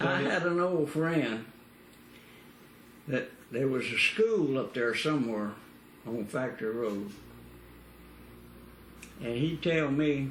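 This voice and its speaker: In a Louisiana accent, a man speaks at a medium pitch and a very slow pace, with lively intonation and long, frequent pauses. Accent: Southern US, Louisiana. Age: 80s+. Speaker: former dairy farmer. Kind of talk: oral history interview answer.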